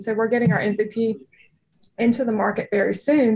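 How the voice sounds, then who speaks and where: Somewhat breathy and fairly high-pitched, a woman with an American accent speaks at a moderate pace with ordinary pitch variation. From North Carolina. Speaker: radiologist and startup founder. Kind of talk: interview. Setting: studio.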